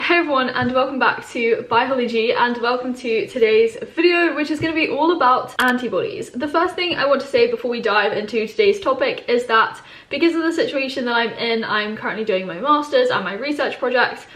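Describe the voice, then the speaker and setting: Lively, high-pitched speech from a woman, fairly quick with hardly any pauses, amid audible room echo and noticeable background noise. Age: 20s. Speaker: biology educator. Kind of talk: tutorial. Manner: casual.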